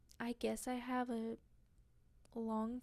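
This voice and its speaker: A soft-spoken woman talks very slowly at a high pitch. Her tone is dark and mellow. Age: 20s. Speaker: podcast host. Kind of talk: casual monologue.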